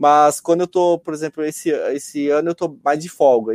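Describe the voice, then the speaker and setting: The sound is close and dry, without any echo. A man's voice rises to a fairly high pitch. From rural Brazil. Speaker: amateur runner. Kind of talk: interview. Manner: halting.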